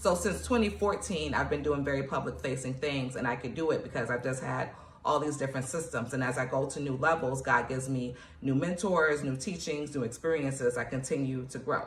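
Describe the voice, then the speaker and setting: A woman with an American accent speaks at a fairly quick pace in an animated tone, her very deep, low pitch showing ordinary variation. Noticeable background noise and audible room echo surround her. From New York, Nigerian family. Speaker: poet and author, motivational coach. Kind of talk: motivational tutorial. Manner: fast; casual, animated.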